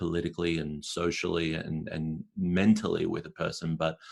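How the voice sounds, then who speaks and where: Someone with an Australian accent talks at a moderate pace with fairly even intonation against a quiet background. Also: man. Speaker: spoken word poet and performer. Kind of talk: podcast interview answer.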